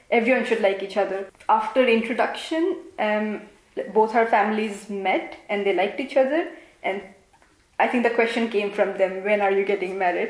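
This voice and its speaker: Speaking in an Assam accent, a woman has a fairly high pitch and ordinary pitch variation. She keeps a moderate pace, and audible room echo is present. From India, Assam. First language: Assamese. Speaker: interviewee, engineer. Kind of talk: interview.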